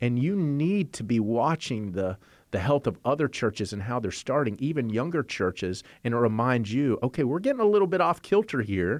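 A man's medium-pitched voice at a fairly quick pace, with very wide pitch swings and a quiet background. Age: 40s. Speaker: church network director. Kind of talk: interview.

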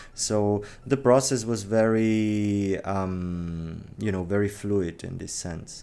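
In a Czech accent, the voice has a dark, mellow tone and a very slow pace with hardly any pauses. Intonation stays fairly even while loudness swings widely, and room echo is audible. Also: man, fairly low pitch for a man. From Czech Republic. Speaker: gallery owner. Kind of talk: interview.

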